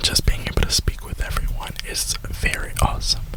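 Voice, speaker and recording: A man is whispering against noticeable background noise. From Florida, USA. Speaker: ASMR YouTuber who also works a retail job. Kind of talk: casual talk to camera, rambling. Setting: inside a parked car. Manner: whispered, soft-spoken.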